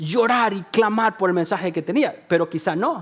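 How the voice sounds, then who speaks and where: This man's tone is animated. He talks at a fairly slow pace. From El Salvador. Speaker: pastor. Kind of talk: sermon.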